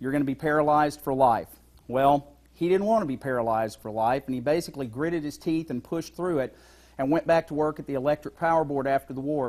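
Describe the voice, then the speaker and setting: This is an ordinary speaking voice, a man with an American accent. He talks at a fairly quick pace, fairly high in pitch, with ordinary pitch variation. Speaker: stage performer. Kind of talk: dramatic storytelling monologue.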